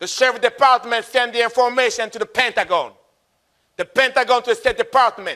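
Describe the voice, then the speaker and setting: A raised, projected voice with a bright, sharp, animated tone comes through in a Congolese accent. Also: man. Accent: Congolese French-African. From Republic of Congo. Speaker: motivational speaker, Marine veteran. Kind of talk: motivational speech.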